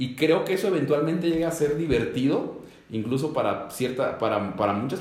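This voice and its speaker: A man's voice with ordinary pitch variation, amid audible room echo and noticeable background noise. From Mexico, Ecatepec near Mexico City. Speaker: executive pastor. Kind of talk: casual panel conversation.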